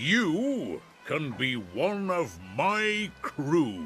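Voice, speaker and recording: Clear music plays in the background as a man does a put-on character voice at a fairly high pitch. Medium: read story. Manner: loud, commanding.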